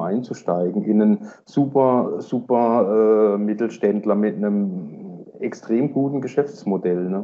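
Here a man speaks in a plain, everyday voice. His pitch is medium and varies an ordinary amount. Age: 40s. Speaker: stock market investor. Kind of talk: casual chat.

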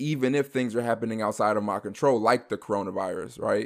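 A man with an ordinary speaking voice at a fairly quick pace, fairly even intonation, on a very clean recording with a silent background. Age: 20s. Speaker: podcast host. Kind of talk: casual chat.

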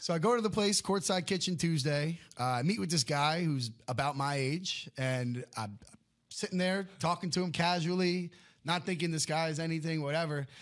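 On a very clean recording with a silent background, a man with an American accent and an unremarkable speaking voice talks at a moderate pace, his pitch fairly high with ordinary variation. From Connecticut, Stamford. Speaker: pickleball coach. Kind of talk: casual chat.

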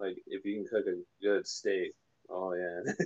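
Here a man speaks at a fairly slow pace. The sound is dry and close, with no echo. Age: 20s. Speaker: music composer. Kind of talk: casual interview. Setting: phone call.

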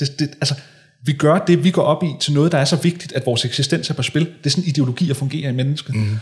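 This man talks at a very fast pace. His voice is fairly high-pitched and somewhat breathy. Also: ordinary pitch variation. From North Zealand, Denmark (Hillerød). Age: 30s. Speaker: author and political consultant. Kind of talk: interview conversation.

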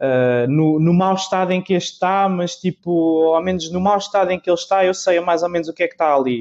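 At a fairly quick pace, a man talks in a high pitch with very even loudness. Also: ordinary pitch variation. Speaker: podcast host. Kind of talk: casual chat.

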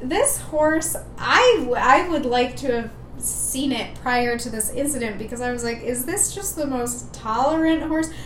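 With noticeable background noise and audible room echo, a woman in an Upper Peninsula Michigan accent speaks at a fairly slow pace, her pitch high and its variation ordinary. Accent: Upper Midwest (Yooper). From Michigan, Upper Peninsula. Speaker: veterinarian and podcast co-host. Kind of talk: casual chat.

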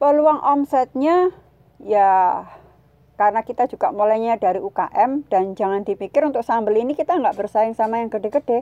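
A woman's fairly high, dark and mellow voice with lively intonation, dry and close with no echo. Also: moderate pace. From East Java (Sidoarjo). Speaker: food processing consultant. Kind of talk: informal business talk / tutorial.

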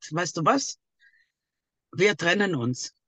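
A woman talks at a fairly slow pace with lively intonation, and the sound is dry and close with no echo. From Greece, Thessaloniki. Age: 50s. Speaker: abuse survivor. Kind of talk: testimony.

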